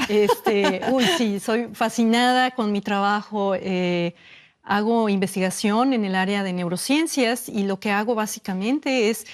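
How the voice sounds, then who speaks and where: A woman with a Mexican accent, medium pitch and ordinary pitch variation. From Mexico. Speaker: neurobiologist. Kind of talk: interview answer.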